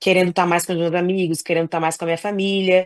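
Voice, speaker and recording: A woman talks at a very fast pace. Her voice sounds dry and close with no echo, against a quiet background. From Brazil. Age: 30s. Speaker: professional basketball player. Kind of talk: casual chat. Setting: podcast interview.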